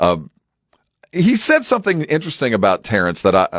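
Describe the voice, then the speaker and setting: A man with an American accent speaks at a very fast pace. The sound is dry and close, without echo. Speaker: radio host. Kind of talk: casual sports radio banter. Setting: studio.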